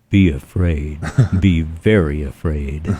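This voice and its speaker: In a put-on character voice, a man growls at a very deep, low pitch with a menacing tone and fairly even intonation. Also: fairly slow pace. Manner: ominous, menacing.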